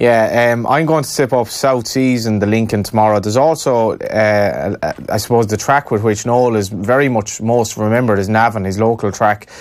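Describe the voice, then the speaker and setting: A man with an Irish accent talks at a moderate pace with fairly even intonation and hardly any pauses. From Ireland. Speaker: radio sports host. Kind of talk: interview. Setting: studio. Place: studio. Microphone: studio mic.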